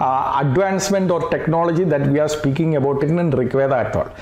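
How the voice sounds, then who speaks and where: A man speaks at a fairly quick pace in a Keralan accent. There is noticeable background noise and audible room echo. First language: Malayalam. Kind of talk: lecture. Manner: hesitant, many fillers.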